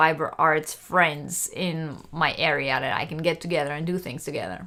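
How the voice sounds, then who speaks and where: A woman's very deep, low voice has a bright, sharp tone and fairly even intonation. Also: moderate pace. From Israel. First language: not English. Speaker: crochet youtuber. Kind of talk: live stream chat. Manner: hesitant, many fillers.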